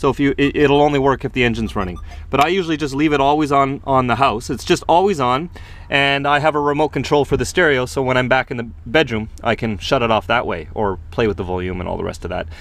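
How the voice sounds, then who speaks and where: Over music in the background, a man rattles along at a very fast pace in a dry sound with no echo. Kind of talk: casual vlog tour. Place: car. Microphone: phone near.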